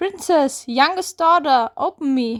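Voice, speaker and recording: A woman speaks fairly slowly in a put-on character voice. Music plays in the background. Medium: read story.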